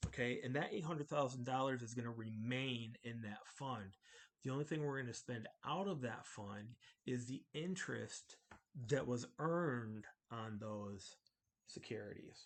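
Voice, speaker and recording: At a moderate pace, a man mumbles with a medium pitch and ordinary pitch variation. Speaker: accounting instructor. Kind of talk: tutorial. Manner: mumbling; halting.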